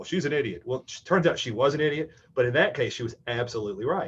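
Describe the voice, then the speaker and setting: Speaking at a very fast pace, a man sounds somewhat breathy. His intonation is lively. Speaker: programming instructor. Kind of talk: lecture.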